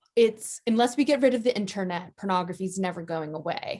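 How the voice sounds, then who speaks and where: A woman with a normal speaking voice and an American accent, medium pitch, ordinary pitch variation and a moderate pace. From US. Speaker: advocacy organization director. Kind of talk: interview.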